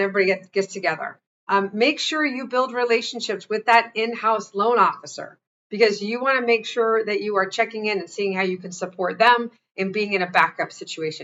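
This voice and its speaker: A woman's fairly quick speech at a medium pitch, with ordinary pitch variation. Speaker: sales and mortgage trainer. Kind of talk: training webinar. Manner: fast; animated.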